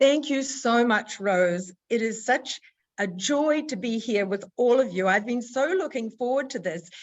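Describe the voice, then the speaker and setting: A woman with an American accent speaks at a fairly slow pace and a high pitch. Her tone is enthusiastic, her intonation lively. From New Zealand. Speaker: motivational speaker and nutritionist. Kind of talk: motivational talk.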